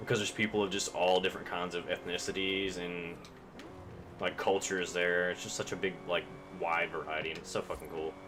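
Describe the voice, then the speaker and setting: A man speaks with a very deep, low pitch and a slight Southern US accent. Music can be heard in the background. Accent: Southern US, slightly country. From US South, Kentucky. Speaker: video game streamer. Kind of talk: casual gaming live-stream chat. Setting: live stream with face cam. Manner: casual, rambling with many fillers.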